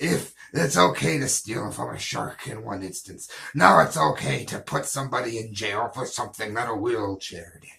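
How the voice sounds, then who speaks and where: In a put-on character voice, a man talks at a moderate pace and medium pitch with hardly any pauses. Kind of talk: comedy news read. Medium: role play.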